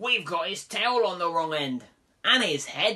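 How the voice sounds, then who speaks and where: A put-on character voice at a middle pitch and a moderate pace. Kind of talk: bedtime story. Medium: read story.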